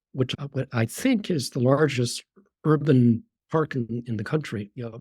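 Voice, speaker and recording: This man's voice is somewhat breathy, medium in pitch, with ordinary pitch variation. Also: dry, close sound with no echo. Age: 70s. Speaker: retired neurologist and author. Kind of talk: podcast interview. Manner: halting, with repetitions.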